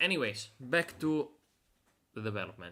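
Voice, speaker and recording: A man's bright, sharp voice with a non-native accent. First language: Italian. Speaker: game developer streamer. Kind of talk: live stream dev commentary. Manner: halting, many fillers.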